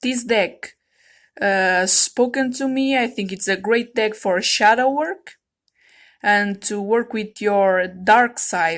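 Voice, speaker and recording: A woman's fairly high pitch with ordinary pitch variation at a very slow pace, in a very clean recording with a silent background. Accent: non-native. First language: non-native English speaker. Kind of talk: casual talk to camera, tarot deck review. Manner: hesitant, casual.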